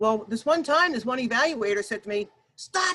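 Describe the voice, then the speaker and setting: A woman's raised, projected voice, bright and sharp in tone, with very wide pitch swings at a moderate pace. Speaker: workshop presenter. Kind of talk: workshop presentation. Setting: video call. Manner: loud.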